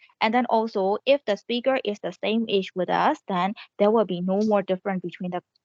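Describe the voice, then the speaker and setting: The sound is dry and close with no echo. A woman with a Burmese accent speaks at a moderate pace in a medium pitch, with fairly even intonation. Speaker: student. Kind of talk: class presentation. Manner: halting.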